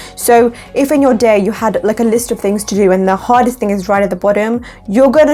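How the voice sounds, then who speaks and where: Over noticeable background noise, a woman with a fairly high voice talks at a very fast pace with ordinary pitch variation. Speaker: lifestyle vlogger. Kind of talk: vlog tutorial. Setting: home, by a window. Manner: animated.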